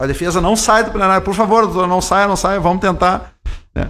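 This man's voice sits high in pitch. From Rio Grande do Sul, Santa Maria. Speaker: judge. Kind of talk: radio interview.

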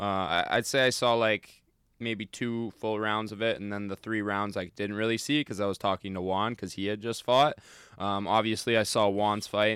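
An ordinary speaking voice from a man at a moderate pace, on a very clean recording with a silent background. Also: fairly low pitch for a man, fairly even intonation. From Calgary, Canada. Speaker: Muay Thai fighter. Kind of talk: casual chat about fights. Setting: studio.

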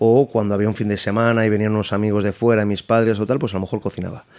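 Very fast, monotone speech from a man with a fairly low pitch and flat intonation. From Madrid, Spain. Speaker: chef and restaurant owner. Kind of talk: casual interview.

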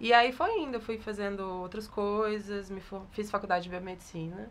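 A woman in a plain, everyday voice speaks at a moderate pace with medium pitch and ordinary pitch variation. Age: 20s. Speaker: photographer. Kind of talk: interview.

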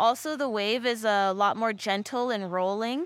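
A woman's ordinary speaking voice with an American accent, fairly even intonation and a fairly slow pace, on a very clean recording with a silent background. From Texas and Michigan. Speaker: professional surfer. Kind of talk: casual chat. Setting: studio.

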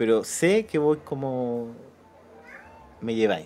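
A man's dark, mellow voice at a medium pitch, with a Chilean accent and ordinary pitch variation. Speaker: film podcast host. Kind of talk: casual film discussion.

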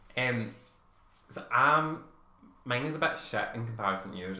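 Noticeable background noise runs beneath a man's speech. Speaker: podcast co-host. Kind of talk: casual chat. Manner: playful, jokey.

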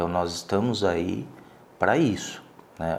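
Audible room echo surrounds the voice. A man speaks with a very deep, low pitch. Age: 50s. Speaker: lawyer and businessman. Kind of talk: interview testimony. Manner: halting, many fillers.

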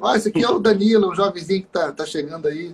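With noticeable background noise behind him, a high-pitched man speaks at a fairly quick pace with ordinary pitch variation. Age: 30s. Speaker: saxophonist and music teacher. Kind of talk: casual interview.

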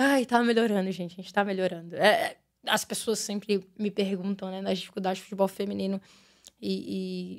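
At a fairly quick pace, a woman with an ordinary speaking voice talks at a medium pitch with fairly even intonation and big swings in loudness. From Brazil, Brasília. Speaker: women's football coach. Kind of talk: casual interview. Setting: studio.

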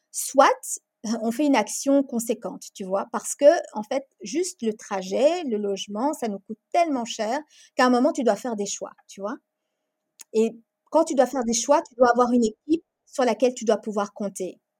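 Dry and close with no echo, the voice moves at a moderate pace with ordinary pitch variation and big swings in loudness. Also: woman, high pitch for a woman. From Belgium, Brussels. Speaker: association founder working in politics. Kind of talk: casual interview. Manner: hesitant, many fillers.

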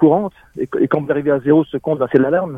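A man is speaking. He goes at a very fast pace. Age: 60s. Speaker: former hotel manager in early retirement. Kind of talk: testimony.

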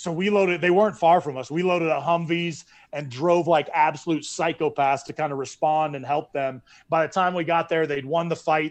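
A normal speaking voice at a fairly quick pace, with fairly even intonation over a quiet background. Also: man, fairly high pitch for a man. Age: 40s. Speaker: former Navy SEAL commander. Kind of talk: interview.

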